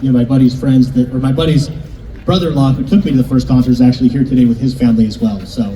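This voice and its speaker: With an American accent, a man speaks at a very fast pace with a medium pitch and fairly even intonation. Noticeable background noise can be heard. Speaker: mayor presenting a civic honor. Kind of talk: ceremonial public speech. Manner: formal, partly read from prepared text.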